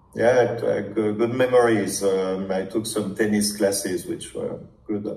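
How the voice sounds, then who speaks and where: A man's fairly low voice, fairly slow and monotone with flat intonation, with audible room echo and noticeable background noise. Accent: strong French. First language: French. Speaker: startup founder, prospective client. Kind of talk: sales discovery call. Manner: halting, many fillers.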